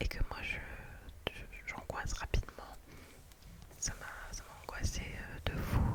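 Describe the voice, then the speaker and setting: A woman whispering at a fairly slow pace, with long, frequent pauses, big swings in loudness, and noticeable background noise. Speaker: ASMR creator. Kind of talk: ASMR storytime, casual chatty anecdote. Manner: whispered, soft, relaxing.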